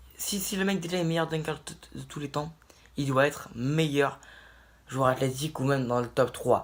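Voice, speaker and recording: At a moderate pace, a man with a fairly high voice speaks with ordinary pitch variation and long, frequent pauses. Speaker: basketball YouTuber. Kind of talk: video commentary monologue. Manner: animated.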